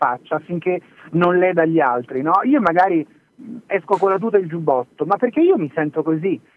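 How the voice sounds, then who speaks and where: A man talks at a high pitch with ordinary pitch variation. His pace is moderate. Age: 30s. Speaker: entrepreneur and former record executive. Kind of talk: interview.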